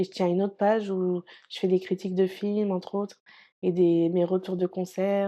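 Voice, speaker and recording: A woman's dark, mellow voice at medium pitch, with monotone, flat intonation. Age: 30s. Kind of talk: interview testimony. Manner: halting, many hesitations.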